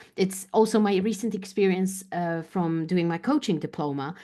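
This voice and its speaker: A woman with a Polish accent speaks at a medium pitch in a dark, mellow tone with lively intonation against a quiet background. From Poland. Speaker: business coach. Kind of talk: interview answer.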